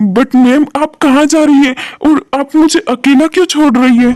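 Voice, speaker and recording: A put-on character voice at a high pitch and moderate pace. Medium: read story. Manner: groveling.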